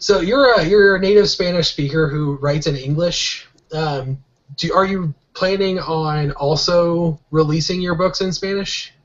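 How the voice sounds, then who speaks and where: A man with a Midwestern American accent talks at a fairly slow pace. His pitch is high, with ordinary variation. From US Midwest, Kansas City. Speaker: podcast host. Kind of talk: interview.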